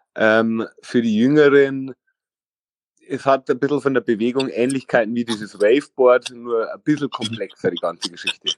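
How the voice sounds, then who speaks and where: Recorded with a dry, close sound with no echo, a man at a medium pitch speaks at a moderate pace with fairly even intonation. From Lower Bavaria, Vilshofen. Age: 30s. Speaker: former streetboard world champion. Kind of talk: interview. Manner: halting, many fillers.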